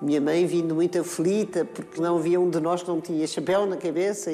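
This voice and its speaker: Over background music, the speaker moves at a fairly quick pace. The intonation stays monotone and flat. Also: woman. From Portugal. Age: 80s+. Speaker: actress. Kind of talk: interview.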